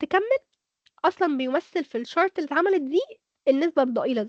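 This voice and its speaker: In an Egyptian accent, a woman talks fairly quickly in a high, animated voice, the sound dry and close with no echo. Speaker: speaker. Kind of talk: workshop lecture.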